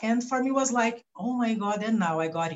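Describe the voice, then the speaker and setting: With a Brazilian Portuguese accent, a woman speaks at a fairly high pitch, her somewhat breathy voice making very wide pitch swings. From Brazil, São Paulo coast. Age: 40s. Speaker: philosopher and activist. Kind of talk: interview. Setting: remote recording from home. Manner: halting.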